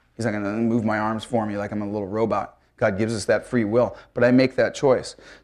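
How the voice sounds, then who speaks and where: A man talks at a fairly quick pace. His medium pitch shows ordinary variation. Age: 50s. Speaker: church leader and lay preacher. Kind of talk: sermon. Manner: halting.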